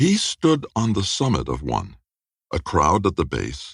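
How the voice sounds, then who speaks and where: Vocal fry runs through this man's speech, which has lively intonation. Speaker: audiobook narrator. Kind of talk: audiobook fiction narration.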